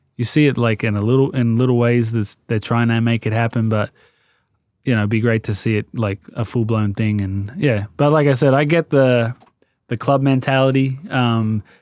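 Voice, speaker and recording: In a very clean recording with a silent background, a man with an Australian accent speaks at a moderate pace and a medium pitch, with fairly even intonation and a dry, close sound with no echo. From Australia (Sydney, Marrickville and Sutherland Shire). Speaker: fashion brand founder, former footballer. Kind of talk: podcast interview. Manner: casual, hesitant with fillers.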